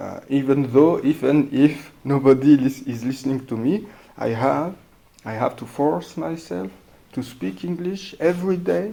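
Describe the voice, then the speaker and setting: With a strong non-native accent, a man speaks at a fairly slow pace in a fairly high pitch with lively intonation. His tone is dark and mellow, and his loudness swings widely. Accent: thick non-native English. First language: not English. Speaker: podcast host, English learner. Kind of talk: casual monologue. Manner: halting, many fillers and hesitations.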